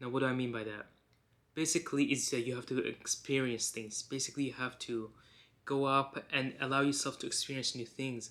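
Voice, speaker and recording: A man talks fairly quickly at a medium pitch, his tone bright and sharp with fairly even intonation. The recording is very clean, with a silent background. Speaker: self-improvement YouTuber. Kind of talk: motivational talk to camera. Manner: halting.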